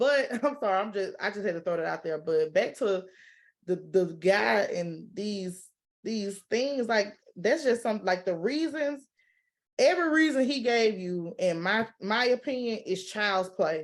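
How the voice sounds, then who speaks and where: Lively intonation marks speech delivered at a fairly slow pace. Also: woman, medium pitch for a woman, quiet background. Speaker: guest on a talk vlog. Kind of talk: casual chat. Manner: loud; animated.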